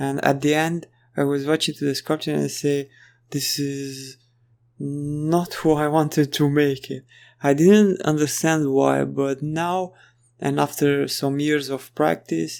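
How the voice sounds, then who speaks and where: With a non-native accent, a man talks at a fairly slow pace and fairly high pitch in a monotone, flat intonation, on a very clean recording with a silent background. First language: not English. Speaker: 3D artist tutorial creator. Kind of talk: tutorial. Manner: halting.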